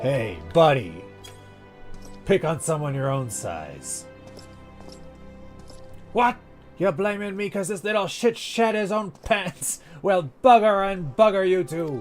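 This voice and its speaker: A man uses a put-on character voice that is gruff, strained and high-pitched, moving at a fairly slow pace with long, frequent pauses. Clear music plays in the background. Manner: gruff, swaggering.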